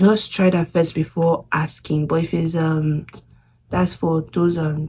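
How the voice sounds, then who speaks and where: Very slowly, a woman speaks in a very deep, low pitch. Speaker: international student vlogger. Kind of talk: casual vlog talk. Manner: halting.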